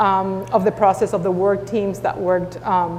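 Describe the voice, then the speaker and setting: The speech comes in a Spanish accent. Noticeable background noise is present. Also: woman. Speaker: school district superintendent. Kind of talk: panel discussion.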